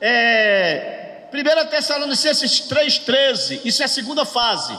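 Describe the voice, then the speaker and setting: Extremely high-pitched, raised and projected male voice with fairly even intonation, audible room echo and noticeable background noise. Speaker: pastor teaching a workshop. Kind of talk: bible lecture. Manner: call-and-response with audience.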